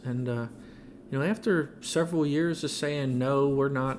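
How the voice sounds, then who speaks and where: This man is soft-spoken, with a medium pitch. He talks at a moderate pace. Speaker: car wash industry veteran, product developer. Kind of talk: podcast interview answer.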